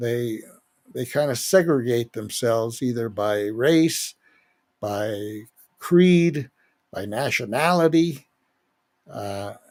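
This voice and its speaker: A man's medium-pitched voice with lively intonation at a very slow pace. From Spanish-speaking country, moved to US at seven. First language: Spanish. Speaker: podcast host. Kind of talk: political podcast monologue. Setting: live broadcast.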